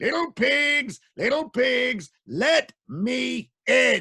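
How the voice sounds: A man puts on a character voice at an extremely high pitch. He speaks loudly and at a very slow pace.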